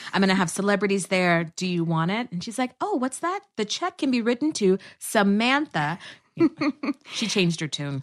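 Here a woman with an American accent uses a normal speaking voice at a medium pitch, with lively intonation and a moderate pace. The sound is dry and close with no echo, and the background is quiet. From Texas. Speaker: actress and comedy producer. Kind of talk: casual chat.

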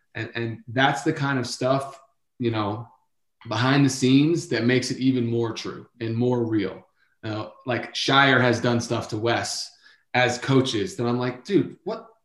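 At a fairly slow pace, a man speaks in an ordinary speaking voice at a medium pitch with ordinary pitch variation. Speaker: former player, sports podcast guest analyst. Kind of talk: casual sports talk. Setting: kids audible in the background.

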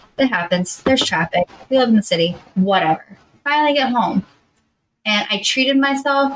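With an American accent, a woman talks at a moderate pace using lively intonation. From US South, Georgia. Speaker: podcast co-host. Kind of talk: casual chat.

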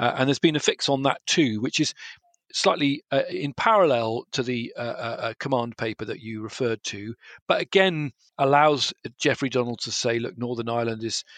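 In a normal speaking voice, a man talks at a moderate pace with a medium pitch and ordinary pitch variation. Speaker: journalist. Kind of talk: panel discussion.

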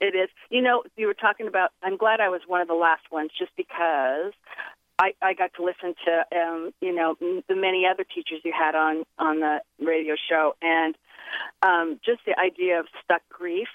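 At a moderate pace, a woman with a fairly low pitch speaks in an unremarkable speaking voice with ordinary pitch variation. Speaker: caller. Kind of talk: casual chat. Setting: phone call.

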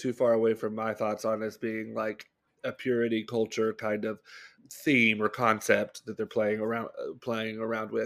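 A man speaks in a normal speaking voice with an American accent, his pitch medium. He talks at a moderate pace on a very clean recording with a silent background. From US South, Bible Belt. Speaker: podcast co-host. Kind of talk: casual chat.

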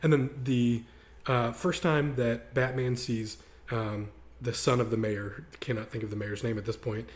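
The man's voice is somewhat breathy. He speaks at a fairly slow pace. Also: medium pitch for a man. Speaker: podcast host. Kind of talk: casual chat. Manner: animated.

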